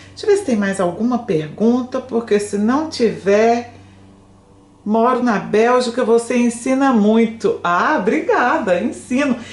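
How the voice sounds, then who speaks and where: Against noticeable background noise, a woman with a high pitch speaks in an animated tone at a moderate pace. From Brazil, Goiânia (Goiás). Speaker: French teacher. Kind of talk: live stream chat with viewers.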